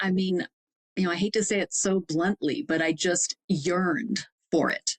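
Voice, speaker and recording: This speaker talks with a Wisconsin accent. The sound is dry and close, with no echo. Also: woman. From Wisconsin, Fond du Lac. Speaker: executive coach. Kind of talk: interview conversation.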